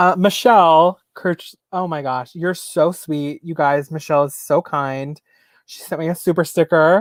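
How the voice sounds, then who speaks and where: A man speaks in a normal speaking voice, fairly high in pitch, at a moderate pace with fairly even intonation. The sound is dry and close, with no echo. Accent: American. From New York, US. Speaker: YouTuber, reseller. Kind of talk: live stream Q&A chat. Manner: casual, chatty.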